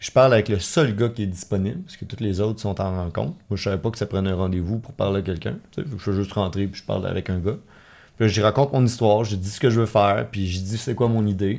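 A man talks very fast in a fairly low voice with ordinary pitch variation. The recording is very clean, with a silent background. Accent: Quebec. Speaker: entrepreneur. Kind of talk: casual chat. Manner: animated.

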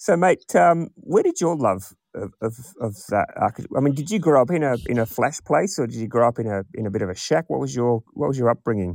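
With an Australian accent, a man of medium pitch talks at a fairly quick pace, swinging his pitch very widely, in a dry, close sound with no echo. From rural Western Australia. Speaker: podcast host. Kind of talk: casual interview chat.

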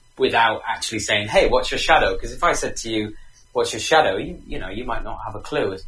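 A man is speaking. Music plays in the background. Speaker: relationship expert. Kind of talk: interview. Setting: call from remote location.

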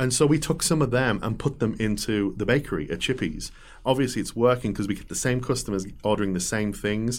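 A man with an English accent speaks at a fairly quick pace, his medium pitch showing ordinary variation. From England. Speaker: shop owner. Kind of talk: interview.

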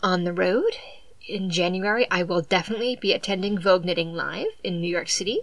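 Amid noticeable background noise, a woman with an American accent speaks at a fairly quick pace and medium pitch with ordinary pitch variation. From southeastern Massachusetts. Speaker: podcast host. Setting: home recording.

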